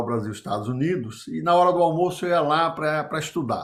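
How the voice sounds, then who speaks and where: This man's intonation is lively, and the recording is very clean with a silent background. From Brazilian Northeast. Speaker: business consultant and former executive. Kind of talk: interview storytelling.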